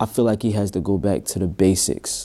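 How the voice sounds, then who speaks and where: In a very clean recording with a silent background, a man speaks quietly in a dark, mellow tone. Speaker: music producer and rapper. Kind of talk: interview. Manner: quiet, introverted; halting.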